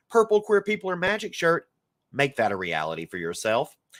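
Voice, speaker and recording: In a Southern US accent, a man with a high pitch talks at a moderate pace in a playful, upbeat tone, the sound dry and close with no echo. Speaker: film festival director. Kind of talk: scripted announcement video.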